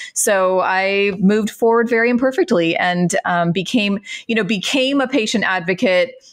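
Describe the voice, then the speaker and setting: A woman with an American accent speaks in a plain, everyday voice at medium pitch, with ordinary pitch variation and very even loudness. Her pace is moderate, and the background is quiet. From Central Florida. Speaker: patient advocate, former pharmacist. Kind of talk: interview conversation.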